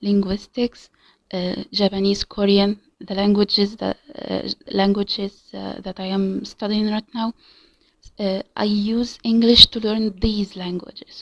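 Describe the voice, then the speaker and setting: A woman with an Arabic accent speaks fairly slowly at a medium pitch, her intonation monotone and flat but her loudness swinging widely. The very clean recording is dry and close with no echo and a silent background. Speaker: language learner vlogger. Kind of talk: casual monologue. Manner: halting, many fillers and repetitions.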